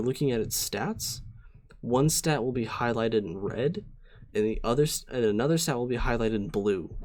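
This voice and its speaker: A man speaks in a plain, everyday voice at medium pitch, moving at a fairly quick pace with ordinary pitch variation. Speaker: streamer teaching competitive Pokemon. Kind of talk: live-streamed tutorial. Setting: live stream with chat. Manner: casual, many fillers (um, uh).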